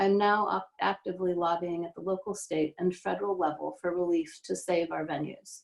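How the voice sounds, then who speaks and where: A woman talks at a moderate pace in a fairly low pitch, with fairly even intonation and hardly any pauses. It is a plain, everyday voice. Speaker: city council politician. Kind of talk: candidate forum statement.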